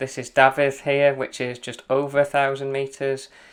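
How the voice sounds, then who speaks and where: Recorded very cleanly against a silent background, a man with a Welsh accent and a fairly high-pitched voice speaks at a moderate pace. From Wales. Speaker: running coach. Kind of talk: route guide narration while running. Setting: outdoors on mountains. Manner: casual, hesitant.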